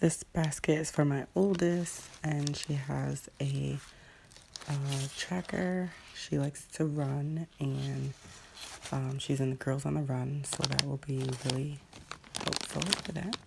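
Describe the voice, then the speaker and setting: A woman's very deep, low voice at a very slow pace, with fairly even intonation and noticeable background noise. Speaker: vlogger. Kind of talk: casual show-and-tell.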